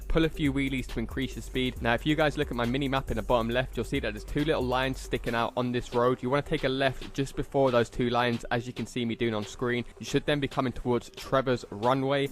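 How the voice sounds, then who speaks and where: The speech races at a very fast pace with hardly any pauses. Music plays in the background, and the intonation stays fairly even. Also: man, medium pitch for a man. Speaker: gaming YouTuber. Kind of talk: gameplay tutorial.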